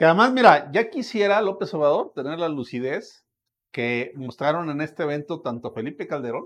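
A man with a Mexican accent speaks at a moderate pace and fairly high pitch, against a quiet background. His pitch swings very widely and his loudness rises and falls sharply. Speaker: political commentator. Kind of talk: casual chat.

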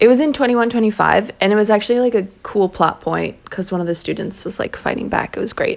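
A woman's normal speaking voice, fairly high-pitched with ordinary pitch variation, at a fairly quick pace with hardly any pauses. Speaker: podcast co-host. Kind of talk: casual chat. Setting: recorded in the morning.

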